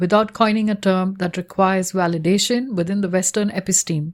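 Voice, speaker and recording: In a Tamil accent, a woman speaks at a medium pitch with ordinary pitch variation. The recording is very clean, with a silent background. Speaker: researcher. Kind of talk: reading aloud. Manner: formal.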